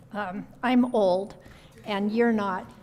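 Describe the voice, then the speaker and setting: A woman with an American accent, fairly high pitch, monotone, flat intonation and a fairly slow pace, with noticeable background noise. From southern Oregon, US. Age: 80s+. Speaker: philanthropist and faith leader. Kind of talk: talk to audience. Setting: luncheon with audience.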